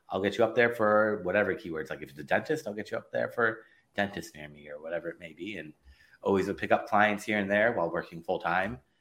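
A man with a Californian accent speaks at a very fast pace with big swings in loudness. His pitch is fairly low, with ordinary pitch variation. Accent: Californian American. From Los Angeles, US. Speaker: digital marketing consultant. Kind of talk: interview.

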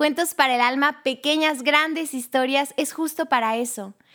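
A woman speaks with a high pitch at a moderate pace. The recording is very clean, with a silent background. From Mexico, Chiapas. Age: 20s. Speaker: lawyer, catechist and storytelling podcast narrator. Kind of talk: casual interview. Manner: animated.

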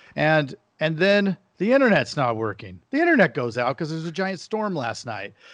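Over a quiet background, a man with a fairly high pitch speaks at a moderate pace, his pitch swinging very widely. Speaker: podcast host. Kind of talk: casual chat. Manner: animated.

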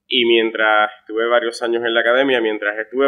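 The speech comes at a very fast pace. The intonation is monotone and flat. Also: man. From Puerto Rico (Florida municipality). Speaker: travel deals entrepreneur. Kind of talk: interview conversation.

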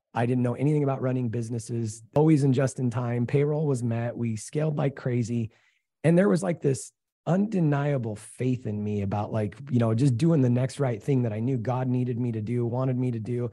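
Very clean recording with a silent background of a man with a dark, mellow tone at a fairly quick pace. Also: medium pitch for a man, ordinary pitch variation. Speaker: real estate investor. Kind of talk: interview.

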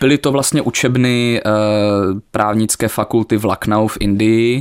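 This man speaks with an Ostrava accent and fairly even intonation. The sound is dry and close, with no echo. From Ostrava, Moravia-Silesia, Czechia. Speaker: law student. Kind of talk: radio interview. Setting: radio studio.

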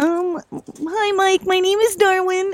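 Extremely high pitch marks this voice. It is a put-on character voice. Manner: playful.

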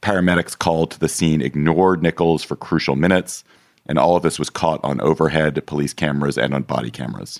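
This man's very deep, low voice carries vocal fry and fairly even intonation. He talks very fast, and the sound is dry and close with no echo. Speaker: political podcast host. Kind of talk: casual chat.

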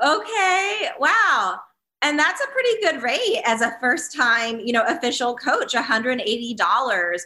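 A woman's high, raised and projected voice, bright and sharp in tone, with very wide pitch swings, very even loudness and a fairly slow pace. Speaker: PR expert and marketing strategist. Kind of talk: interview, friendly conversation where she asks the questions.

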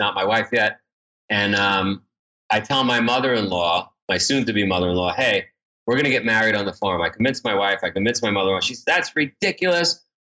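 A bright, sharp tone in a New York accent, with lively intonation at a fairly quick pace. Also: man. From New York (Queens). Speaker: endurance race entrepreneur. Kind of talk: interview.

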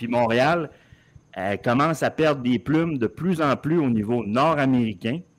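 A man speaks at a fairly slow pace in a plain, everyday voice, with medium pitch and ordinary pitch variation, on a very clean recording with a silent background. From Montreal, Quebec. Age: 50s. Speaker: soccer commentator. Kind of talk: casual chat.

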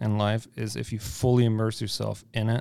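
In a German accent, a man speaks at a medium pitch in a flat monotone. His tone is dark and mellow. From Germany. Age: 20s. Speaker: brewer. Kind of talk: casual chat. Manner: direct.

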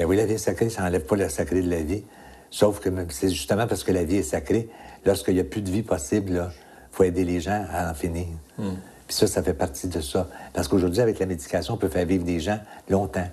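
A man with a very deep, low pitch and a dark, mellow, somewhat breathy tone talks very fast with ordinary pitch variation and long, frequent pauses. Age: 60s. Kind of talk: interview.

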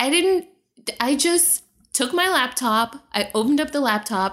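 Her tone animated and her intonation lively, a woman talks with an American accent. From Trinidad and Tobago, then Boston from age 11-12. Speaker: writer, podcaster and event curator. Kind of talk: casual interview. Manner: animated, laughs often.

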